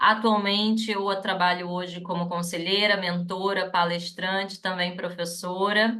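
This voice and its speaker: With audible room echo, a woman at a medium pitch speaks at a fairly slow pace in a monotone, flat intonation with hardly any pauses. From Rio de Janeiro, Brazil. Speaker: psychologist and HR consultant. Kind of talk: webinar panel talk.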